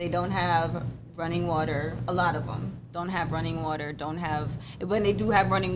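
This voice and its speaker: With audible room echo and noticeable background noise, a woman talks fairly quickly. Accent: American. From Jamaica, Clarendon. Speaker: podcast guest. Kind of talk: casual chat.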